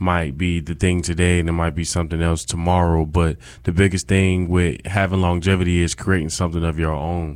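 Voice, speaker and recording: At a moderate pace, a man talks in a very deep, low voice with an American accent. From upstate New York (Rochester). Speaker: college student and campus DJ. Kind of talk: casual interview.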